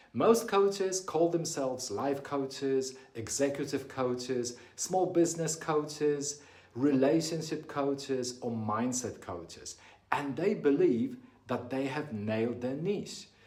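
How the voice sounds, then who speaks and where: Noticeable background noise and audible room echo surround a man speaking at a fairly slow pace. His fairly high pitch carries lively intonation. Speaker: business coach. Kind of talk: talking-head tutorial.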